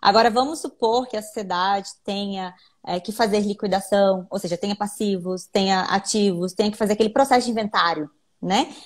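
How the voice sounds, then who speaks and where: A woman speaks at a medium pitch with ordinary pitch variation and a somewhat breathy quality, on a very clean recording with a silent background. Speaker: lawyer. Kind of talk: live stream interview explaining law. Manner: fast.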